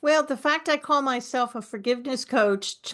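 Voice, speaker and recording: A woman with a New York accent and a bright, sharp tone talks against a quiet background. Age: 60s. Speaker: forgiveness coach. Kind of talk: podcast interview.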